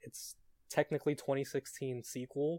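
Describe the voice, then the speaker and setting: A man with an American accent speaks at a moderate pace, fairly high in pitch, with a dark, mellow tone. The recording is very clean with a silent background and a dry, close sound with no echo. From New York City. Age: young. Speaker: writer. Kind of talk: casual chat.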